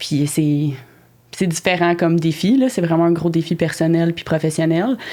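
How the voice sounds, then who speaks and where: A woman talks at a moderate pace. Her fairly low pitch carries a dark, mellow tone. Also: ordinary pitch variation. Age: 20s. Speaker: horticulture teacher and project manager. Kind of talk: podcast interview. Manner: hesitant, many fillers.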